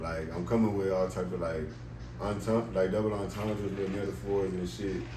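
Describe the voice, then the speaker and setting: A man's very deep, low voice, fairly quick and lively, with audible room echo and noticeable background noise. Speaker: rapper. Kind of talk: casual interview.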